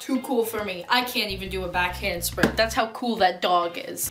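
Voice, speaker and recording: Moderately paced speech from a woman, with noticeable background noise. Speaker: gaming and reaction youtuber. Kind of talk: reaction video commentary. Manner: animated.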